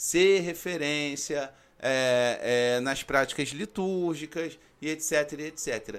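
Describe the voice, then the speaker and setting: A man speaks in a plain, everyday voice, pitched fairly high with ordinary pitch variation. The recording is very clean, with a silent background. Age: 30s. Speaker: podcast host, freemasonry content creator. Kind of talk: solo podcast monologue. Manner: casual, conversational.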